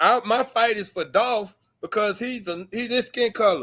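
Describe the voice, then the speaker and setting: A man with an extremely high pitch speaks in a raised, projected voice at a fairly slow pace. The recording is very clean, with a silent background. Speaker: blogger. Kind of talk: casual discussion on a livestream. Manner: animated, repetitive.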